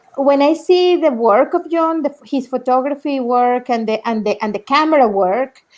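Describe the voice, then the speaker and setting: Speaking in a Spanish accent, a woman uses a high pitch and lively intonation at a fairly slow pace. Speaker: documentary film director. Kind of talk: live Q&A panel talk. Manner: halting, many repetitions.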